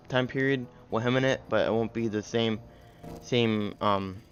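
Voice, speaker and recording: With music playing in the background, a man talks at a moderate pace and medium pitch with fairly even intonation. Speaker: gaming youtuber. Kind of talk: gameplay commentary. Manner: halting.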